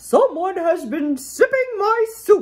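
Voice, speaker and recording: A female-sounding voice in a put-on character voice growls at an extremely high pitch and a fairly slow pace. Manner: growling.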